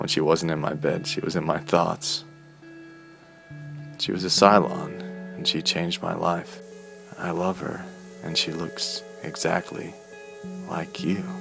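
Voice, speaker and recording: Music plays in the background as a man talks at a fairly slow pace with long, frequent pauses. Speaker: voice actor. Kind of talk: dramatic narration.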